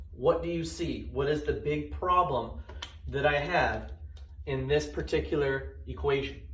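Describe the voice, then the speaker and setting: Audible room echo and noticeable background noise accompany a man as he speaks. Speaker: math teacher. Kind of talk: tutorial. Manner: fast; casual, conversational.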